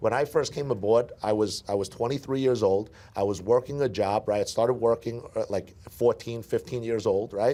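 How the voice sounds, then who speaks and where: Speaking at a moderate pace with hardly any pauses, a man with an American accent has a dark, mellow tone and fairly even intonation. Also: medium pitch for a man. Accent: Brooklyn accent, comes out at times. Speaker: sales team leader. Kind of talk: training interview. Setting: office event with audience. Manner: repetitive, stammering restarts.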